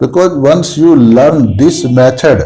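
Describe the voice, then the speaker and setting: A man with an Indian accent speaks at a fairly slow pace in a dark, mellow tone, with audible room echo. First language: Hindi. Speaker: homeopathy doctor and teacher. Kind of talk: lecture. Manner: halting.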